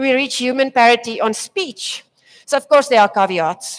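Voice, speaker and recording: A woman speaks at a fairly quick pace in a high voice, her intonation lively. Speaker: tech presenter. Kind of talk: conference talk. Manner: hesitant, many fillers.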